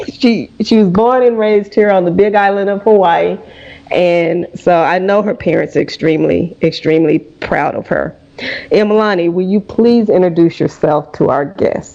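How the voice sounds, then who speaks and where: In a Southern US accent, a woman speaks at medium pitch with ordinary variation. Noticeable background noise is present. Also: moderate pace. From US South. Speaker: radio host. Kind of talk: interview.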